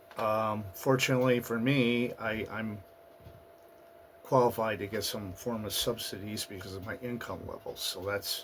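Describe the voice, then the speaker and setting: There is noticeable background noise as a man talks at a fairly slow pace. His voice sits at medium pitch with fairly even intonation. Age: 50s. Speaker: vlogger. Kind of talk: casual vlog monologue. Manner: hesitant, many fillers.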